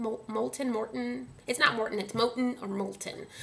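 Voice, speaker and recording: Against noticeable background noise and audible room echo, a woman speaks at a medium pitch with an American accent. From Dallas, Texas (Oak Cliff). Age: 30s. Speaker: vlogger. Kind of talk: angry rant to camera. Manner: animated.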